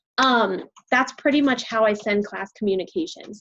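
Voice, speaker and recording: Using a plain, everyday voice, a woman speaks at a fairly high pitch and moderate pace with ordinary pitch variation. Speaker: college biology instructor. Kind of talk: lecture.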